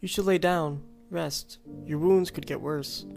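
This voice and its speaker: Faint music plays in the background behind a put-on character voice at a middle pitch. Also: fairly slow pace. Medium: read story. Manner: nervous, placating.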